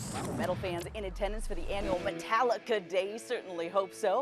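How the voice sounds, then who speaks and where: A woman at a medium pitch, talking at a fairly quick pace over background music. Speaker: sports anchor for a local TV news station. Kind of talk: local TV sports news anchor delivery.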